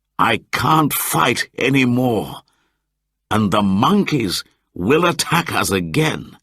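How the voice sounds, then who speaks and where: A man puts on a character voice at a medium pitch, speaking very slowly with very even loudness while his pitch swings very widely. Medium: read story.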